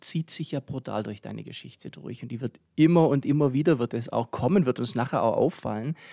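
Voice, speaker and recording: Heard as a normal speaking voice, the speech moves at a moderate pace with lively intonation and big swings in loudness, in a dry, close sound with no echo and a very clean recording, silent background. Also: man. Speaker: podcast host. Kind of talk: casual interview. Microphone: new podcast equipment.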